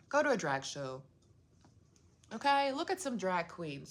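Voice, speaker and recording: With a non-native accent, a woman speaks in an animated tone at a moderate pace, her pitch swinging very widely. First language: not English. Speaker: video blogger. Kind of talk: casual monologue.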